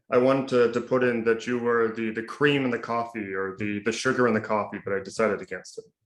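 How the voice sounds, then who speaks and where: A man's medium-pitched voice at a fairly quick pace, an ordinary speaking voice. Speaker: announcer. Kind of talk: interview host questions.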